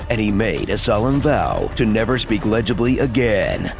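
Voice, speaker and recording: A man's medium-pitched voice at a moderate pace, with fairly even intonation, very even loudness and music in the background. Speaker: voice actor. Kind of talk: comedic movie trailer narration.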